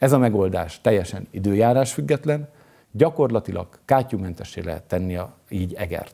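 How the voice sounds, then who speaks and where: A man with an unremarkable speaking voice uses lively intonation. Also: fairly low pitch for a man, moderate pace. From Hungary, Eger. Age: 50s. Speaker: mayoral candidate. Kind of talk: campaign speech. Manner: formal.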